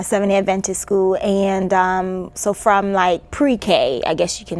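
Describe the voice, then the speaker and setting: A woman talks at a moderate pace in a medium pitch. She has a slight Caribbean accent. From New York City, born in Antigua. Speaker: educator and author. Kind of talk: interview. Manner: hesitant, many fillers.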